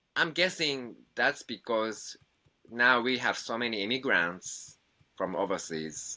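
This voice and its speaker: A man's medium-pitched, bright, sharp voice with a Japanese accent, very slow pace, vocal fry and lively intonation, in a very clean recording with a silent background. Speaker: musician. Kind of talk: interview. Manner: halting.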